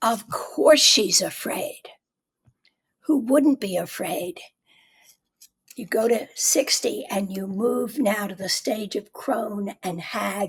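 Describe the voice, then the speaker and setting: Very slow and broken by long, frequent pauses, a woman's somewhat breathy, fairly high voice has lively intonation and big swings in loudness. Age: 80s+. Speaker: author. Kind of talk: casual chat.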